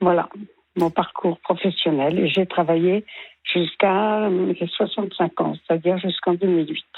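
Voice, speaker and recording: Her intonation is monotone and flat, with a fairly low pitch. This woman speaks at a fairly slow pace. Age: 80s+. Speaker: retired early childhood educator. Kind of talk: radio interview testimony. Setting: radio broadcast. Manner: hesitant, with many fillers.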